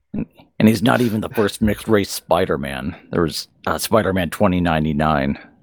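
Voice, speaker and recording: A man's very deep, low voice with vocal fry, lively intonation and a fairly quick pace. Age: 30s. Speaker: podcast co-host. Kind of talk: casual chat. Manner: halting, frequent fillers and restarts.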